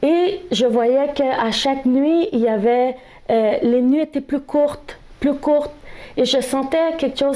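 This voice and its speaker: A woman's high voice in a Spanish accent, very slow in pace with ordinary pitch variation, amid noticeable background noise. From El Salvador. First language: Spanish (speaking French). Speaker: speaker sharing experience of workplace discrimination. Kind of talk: testimony. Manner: halting, with hesitations.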